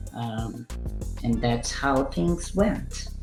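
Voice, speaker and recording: Music sounds in the background. A woman talks over it. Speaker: senior marketing manager, expat. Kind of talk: podcast interview answer.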